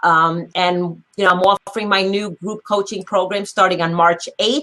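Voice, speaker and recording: A woman's medium-pitched voice with fairly even intonation at a moderate pace, dry and close with no echo. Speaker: motivational speaker and life coach. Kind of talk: live-stream group chat. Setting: live video chat room. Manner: loud.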